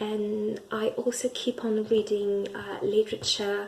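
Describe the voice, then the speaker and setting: Noticeable background noise surrounds a woman speaking at a very slow pace. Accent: French. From France. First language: French. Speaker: language learner and English teacher. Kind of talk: personal video monologue. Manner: halting, many fillers and restarts.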